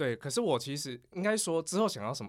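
The voice swings very widely in pitch on a very clean recording with a silent background. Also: man. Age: 30s. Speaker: podcast co-host. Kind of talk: casual chat.

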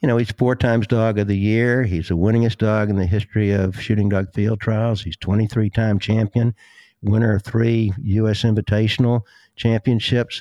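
Speaking with a Southern US accent, a man uses a fairly low pitch, ordinary pitch variation and a moderate pace, the sound dry and close with no echo. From US South, South Carolina. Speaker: dog trainer and breeder. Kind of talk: casual interview chat.

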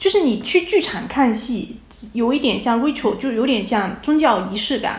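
A woman's voice at a moderate pace, with audible room echo and noticeable background noise. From China, Fujian province. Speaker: postdoctoral researcher in theatre and culture. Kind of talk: casual conversational interview. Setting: remote call from abroad.

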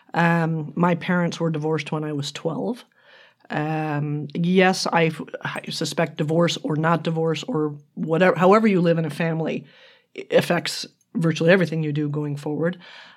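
A woman with an unremarkable speaking voice, fairly low in pitch, at a moderate pace and with fairly even intonation. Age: 60s. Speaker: retired marketing executive, podcast guest. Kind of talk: casual interview chat. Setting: sharing one microphone with host.

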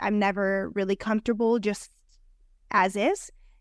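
With an American accent, a woman uses an ordinary speaking voice at a medium pitch and fairly even intonation, recorded with a dry, close sound with no echo against a quiet background. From New Jersey. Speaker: sports broadcaster. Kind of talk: casual interview chat. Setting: video call.

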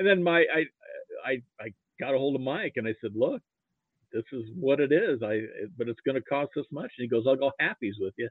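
With an American accent and lively intonation, the speaker goes at a fairly quick pace in a dry, close sound with no echo. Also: man, medium pitch for a man.

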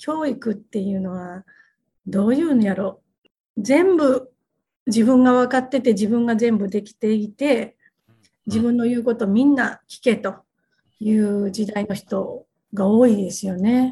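A woman with a fairly high, somewhat breathy voice speaks at a fairly slow pace with ordinary pitch variation and long, frequent pauses. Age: 50s. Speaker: company president. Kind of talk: interview. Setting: video call.

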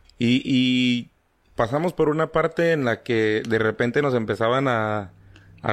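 An ordinary speaking voice with ordinary pitch variation, on a very clean recording with a silent background. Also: man. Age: 30s. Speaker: podcast guest. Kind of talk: casual chat about paranormal experiences. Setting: live stream.

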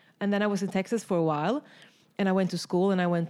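In a Swedish accent, a woman speaks at a medium pitch with a dark, mellow tone and ordinary pitch variation. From Sweden, rural countryside. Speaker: artist. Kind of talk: casual interview. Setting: artist's studio.

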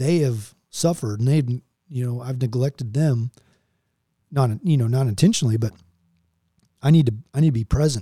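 Somewhat breathy and dark, mellow in tone, this voice with an American accent has ordinary pitch variation and long, frequent pauses, captured with a dry, close sound with no echo. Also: man, medium pitch for a man. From Texas. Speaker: military pilot. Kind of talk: interview.

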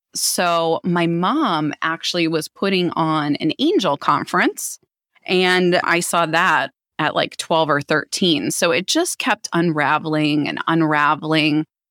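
A woman has a normal speaking voice, fairly low in pitch with ordinary pitch variation, in a dry, close sound with no echo. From Philadelphia area, US, raised abroad (London, Canada) and Minneapolis. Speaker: psychic medium and spiritual teacher. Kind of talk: interview.

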